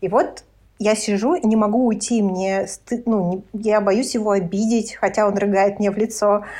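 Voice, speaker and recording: The pace here is moderate, and the intonation fairly even. It is an ordinary speaking voice. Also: woman, fairly high pitch for a woman. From Lithuania. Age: 30s. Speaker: podcast guest. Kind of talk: casual chat.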